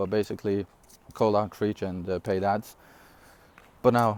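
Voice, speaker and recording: A man with a non-native accent, fairly low in pitch, monotone and flat. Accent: non-native English, noticeable. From Syria. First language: not English (English is third language). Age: 20s. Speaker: online entrepreneur. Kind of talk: casual vlog talk. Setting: outdoors. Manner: casual, with fillers and self-corrections.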